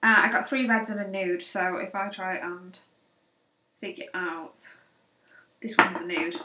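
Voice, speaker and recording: A woman speaks with a British accent. Her pitch variation is ordinary. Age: 20s. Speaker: beauty vlogger. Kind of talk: casual product haul. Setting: home office. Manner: hesitant, many fillers.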